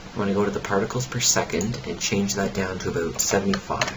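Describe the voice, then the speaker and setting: At a fairly quick pace, a man with a fairly low voice and ordinary pitch variation talks over noticeable background noise, with audible room echo. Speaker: software tutorial youtuber. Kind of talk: tutorial. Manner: fast.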